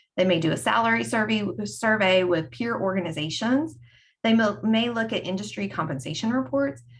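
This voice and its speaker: With a North Carolina accent, a woman speaks at a fairly quick pace, somewhat breathy, her pitch swinging very widely. Audible room echo surrounds her voice. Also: medium pitch for a woman. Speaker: HR consultant. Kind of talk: conference presentation. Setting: screen-shared online presentation.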